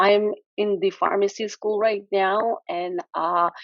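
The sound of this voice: A woman at medium pitch in a dry, close sound with no echo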